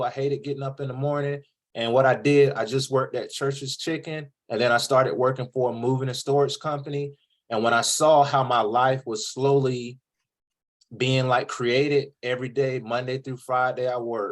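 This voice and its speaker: Using a Southern US accent, a man speaks at medium pitch and a moderate pace with monotone, flat intonation. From US South, coastal North Carolina (Jacksonville). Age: 30s. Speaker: podcast host, author on college vs trade. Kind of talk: interview. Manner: casual, conversational.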